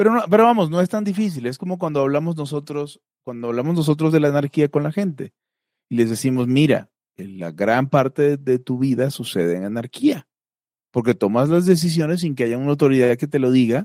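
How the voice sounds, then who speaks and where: Speaking at a fairly quick pace with a Mexican accent, a man has a dark, mellow tone, fairly high pitch and lively intonation. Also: dry, close sound with no echo, very clean recording, silent background. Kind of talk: casual chat.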